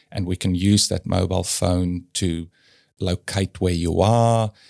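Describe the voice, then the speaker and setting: A man speaks with a very deep, low pitch. The recording is very clean, with a silent background and a dry, close sound with no echo. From South Africa, Afrikaans home. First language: Afrikaans. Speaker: creative agency leader and art gallery curator. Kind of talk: podcast interview.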